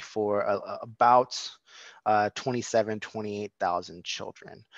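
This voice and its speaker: A man's medium-pitched voice with fairly even intonation, dry with no echo, over a quiet background. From San Diego, California; California. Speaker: education policy advocate; presenter. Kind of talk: presentation. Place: home room. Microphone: video call.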